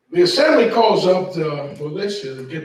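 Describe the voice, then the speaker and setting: An American accent marks the speech. The voice carries audible room echo. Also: man. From New Jersey. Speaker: seminar presenter. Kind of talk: seminar lecture. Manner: animated; fast.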